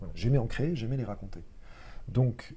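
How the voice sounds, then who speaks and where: Here a man talks at a fairly quick pace with lively intonation. His voice is fairly low, somewhat breathy, and dark and mellow in tone. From Lorraine, France (countryside near Metz). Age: 30s. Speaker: actor. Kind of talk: casual chat. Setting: live podcast studio. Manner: hesitant, many fillers.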